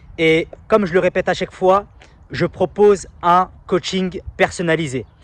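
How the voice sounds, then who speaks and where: Speaking at a fairly slow pace, a man uses a high pitch and fairly even intonation, recorded dry and close with no echo. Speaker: self-help YouTuber and coach. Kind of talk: casual vlog monologue. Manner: quiet.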